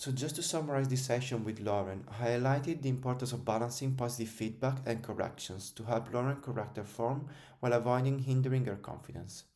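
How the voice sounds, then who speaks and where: With an Italian accent, a man speaks at a very fast pace in a medium-pitched voice of dark, mellow tone, with fairly even intonation and audible room echo. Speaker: strength and conditioning coach. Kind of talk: scripted narration.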